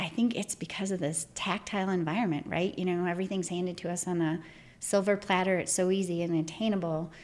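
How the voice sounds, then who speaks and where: A woman with an American accent, fairly low pitch, fairly even intonation and a very fast pace. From northern Michigan. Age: 40s. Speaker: environmental regulatory consultant. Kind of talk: casual interview.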